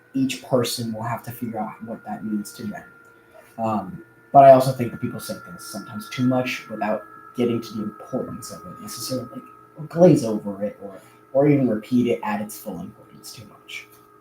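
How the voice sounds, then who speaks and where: Over music in the background, a man talks at a fairly quick pace in a medium pitch, with ordinary pitch variation and big swings in loudness. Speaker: youtuber and aspiring musician. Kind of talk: casual livestream chat. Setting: live stream. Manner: halting, many fillers.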